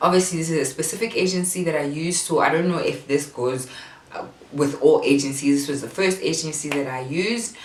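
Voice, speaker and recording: Noticeable background noise and audible room echo surround the recording. A woman speaks at a very deep, low pitch. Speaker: parenting vlogger. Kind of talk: casual tutorial. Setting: bedroom at home.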